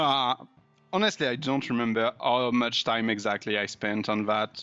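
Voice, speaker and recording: A man speaks in a French accent at a medium pitch. His intonation is fairly even. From France. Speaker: indie game developer, pixel artist. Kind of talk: casual interview chat.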